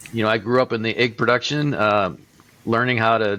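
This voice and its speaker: A man with an American accent at medium pitch, bright and sharp in tone. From US Midwest, northwest Iowa. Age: 60s. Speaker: egg farmer and poultry businessman. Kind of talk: interview.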